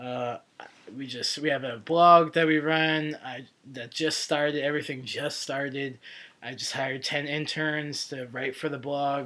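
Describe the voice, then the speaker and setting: A man with a bright, sharp tone, fairly high pitch, monotone flat intonation, and a fairly slow pace. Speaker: vlogger. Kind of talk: casual vlog update. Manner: hesitant, many fillers.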